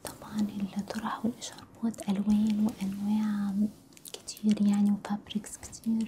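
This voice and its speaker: A soft-spoken woman talks at a fairly slow pace and a medium pitch in a monotone, flat intonation. Noticeable background noise runs behind her. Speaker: hijab stylist. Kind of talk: ASMR role-play consultation. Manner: soft-spoken, friendly.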